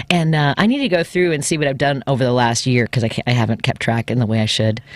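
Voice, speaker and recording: Words come at a very fast pace with very even loudness and ordinary pitch variation, over noticeable background noise. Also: woman, very deep, low pitch for a woman. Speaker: radio host and comedian. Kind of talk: casual chat. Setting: studio.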